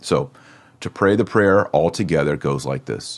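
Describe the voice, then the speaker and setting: This man has a Texan accent and ordinary pitch variation. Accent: American, Texan. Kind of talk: lecture. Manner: instructional, deliberate.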